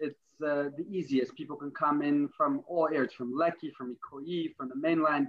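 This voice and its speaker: With a plain, everyday voice and an American accent, a man speaks at a fairly high pitch and moderate pace, with fairly even intonation and hardly any pauses. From US, Brooklyn NY. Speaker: rabbi, religious emissary. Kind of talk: interview.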